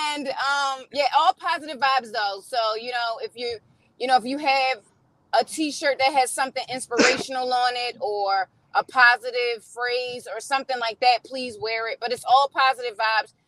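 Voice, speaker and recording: Delivered with a Baltimore accent at a moderate pace, the voice has ordinary pitch variation and a dry, close sound with no echo. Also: woman, high pitch for a woman. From Baltimore, Maryland, US. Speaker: singer and video maker. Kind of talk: casual chat. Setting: in a car.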